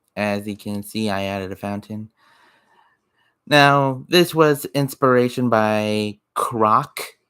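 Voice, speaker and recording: The pace is very slow, with long, frequent pauses and ordinary pitch variation. The recording is very clean and dry, with a silent background, a close sound and no echo. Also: man. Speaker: gaming youtuber and hobby game developer. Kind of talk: game development showcase commentary.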